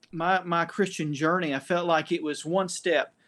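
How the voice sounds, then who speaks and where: A man with an East Tennessee accent speaks fairly slowly at a high pitch over a quiet background. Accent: Southern US (East Tennessee). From US South, Knoxville, Tennessee. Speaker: church leader with doctorate sharing faith story. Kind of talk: testimony. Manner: halting, many fillers.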